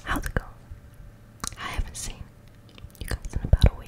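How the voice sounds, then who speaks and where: A woman is speaking. She is whispering. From New Zealand. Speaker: ASMR creator. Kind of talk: ASMR whispers. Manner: whispered. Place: home room. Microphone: studio mic.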